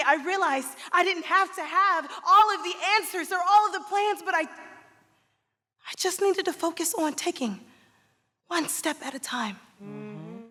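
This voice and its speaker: Using a raised, projected voice, a woman with an American accent speaks at an extremely high pitch with ordinary pitch variation. Her tone is bright and sharp, and her pace is moderate. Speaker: stage actress. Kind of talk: live theatrical storytelling monologue. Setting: live theatre with audience reactions.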